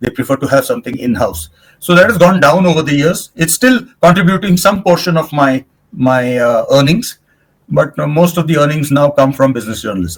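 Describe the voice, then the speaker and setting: Somewhat breathy delivery, fairly quick, with lively intonation. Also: man, fairly high pitch for a man. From India. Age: 70s. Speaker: sports and business journalist, management consultant, badminton player. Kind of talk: podcast interview.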